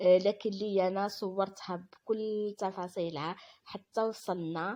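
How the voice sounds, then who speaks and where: Her intonation fairly even, a woman talks at a very slow pace. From Algeria. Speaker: vlogger. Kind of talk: vlog voiceover narration. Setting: voiceover recorded after filming. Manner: halting, many fillers and restarts.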